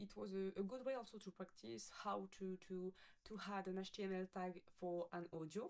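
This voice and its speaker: A woman talks with a French accent at a moderate pace. Her intonation is fairly even. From France. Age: 20s. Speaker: coding student. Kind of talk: project presentation with screen demo. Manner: halting, many fillers and self-corrections.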